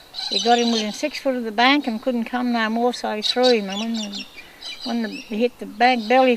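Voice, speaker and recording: Over noticeable background noise, a woman talks at a fairly quick pace. Her voice is fairly high with fairly even intonation. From rural New South Wales, Australia. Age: 60s. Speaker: community elder. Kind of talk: oral history storytelling. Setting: outdoors by a river. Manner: casual, hesitant with fillers.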